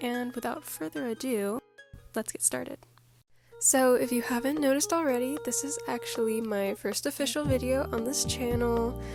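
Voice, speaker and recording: Music plays in the background while a woman talks at a moderate pace. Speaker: artist. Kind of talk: casual talk while drawing. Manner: relaxed, chill.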